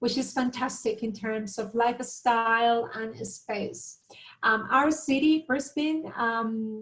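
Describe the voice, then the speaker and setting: A woman with a Latin American accent speaks at a very slow pace in a fairly high pitch. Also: ordinary pitch variation. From Colombia, Bogota. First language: Spanish. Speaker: university recruitment manager. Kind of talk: webinar presentation. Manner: hesitant, many fillers.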